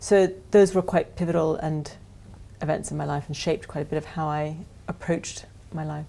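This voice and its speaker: With an American accent, a woman talks at a fairly quick pace in a very deep, low voice, her tone dark and mellow and her intonation fairly even. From US, then Ireland from age 12. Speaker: business leader. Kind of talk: interview.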